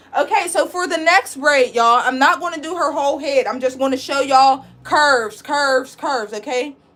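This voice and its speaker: A loud, animated woman's voice, high-pitched, with lively intonation. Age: 20s. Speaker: braiding instructor and licensed cosmetologist. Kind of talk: live online tutorial.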